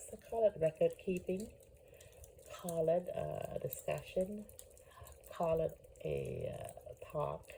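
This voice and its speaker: A soft-spoken woman talks at a very slow pace with long, frequent pauses. Her loudness swings widely. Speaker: vlogger. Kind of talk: casual monologue. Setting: at home at night, family sleeping. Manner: soft-spoken, low voice; halting, many fillers.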